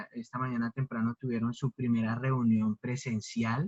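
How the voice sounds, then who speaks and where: Somewhat breathy, a man speaks at a moderate pace and medium pitch with fairly even intonation in a dry, close sound with no echo. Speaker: preacher. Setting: livestream on social media. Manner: stutters at times.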